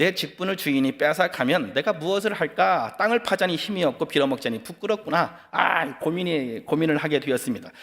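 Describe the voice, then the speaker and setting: This man talks at a fairly quick pace in a high voice. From Chungcheong region, South Korea. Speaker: pastor. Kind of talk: sermon. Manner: fast; animated.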